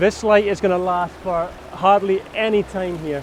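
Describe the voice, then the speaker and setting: A man speaks in an excited tone with a high pitch, though his pace is fairly slow. Noticeable background noise runs behind him. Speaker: landscape photographer. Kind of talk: vlog narration. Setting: outdoors. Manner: excited shouting.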